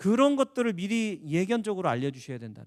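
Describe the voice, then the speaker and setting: A man with a high pitch at a fairly quick pace, on a very clean recording with a silent background. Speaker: lecturer on health insurance and pension planning. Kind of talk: lecture. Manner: fast.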